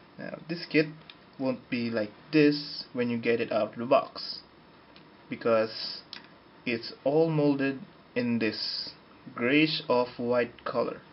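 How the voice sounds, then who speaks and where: Very slow speech with fairly even intonation and long, frequent pauses. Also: man, medium pitch for a man. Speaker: model kit reviewer. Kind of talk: product review talk to camera.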